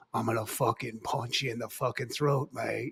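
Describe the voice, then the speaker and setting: In a put-on character voice with an English accent, a man speaks raspily at a moderate pace. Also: medium pitch for a man. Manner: menacing, threatening.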